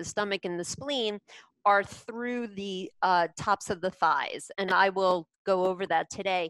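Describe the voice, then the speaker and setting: A woman speaks at a very slow pace with ordinary pitch variation. The sound is dry with no echo, and the background is quiet. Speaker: yoga teacher. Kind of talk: class instruction. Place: home room. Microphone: headset.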